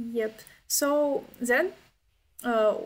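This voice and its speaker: A woman speaks with a Ukrainian accent. Her pitch sits fairly high. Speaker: event host. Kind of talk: casual chat. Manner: halting.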